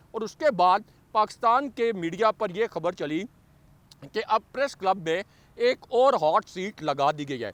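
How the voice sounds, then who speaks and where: The recording of this high-pitched man is dry and close with no echo, and his intonation is lively. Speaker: news commentator. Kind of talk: news commentary.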